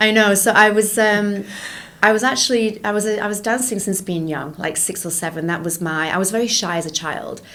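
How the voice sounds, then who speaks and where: A woman with a British accent speaks at a fairly quick pace and a medium pitch with ordinary pitch variation, and audible room echo. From England. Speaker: entrepreneur and educator. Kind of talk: interview conversation.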